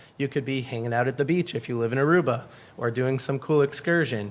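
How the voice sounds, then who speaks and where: A man talks at a fairly quick pace in a plain, everyday voice. His pitch is medium, with ordinary pitch variation. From New England, Boston area. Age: 20s. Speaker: book community founder. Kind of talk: podcast interview.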